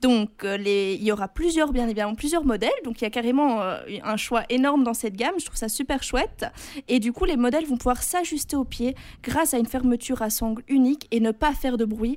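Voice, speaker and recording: At a fairly quick pace, a woman speaks with a high pitch and ordinary pitch variation. The recording is very clean, with a silent background. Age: 20s. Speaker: student radio co-host, news columnist. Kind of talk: scripted narration; casual chat.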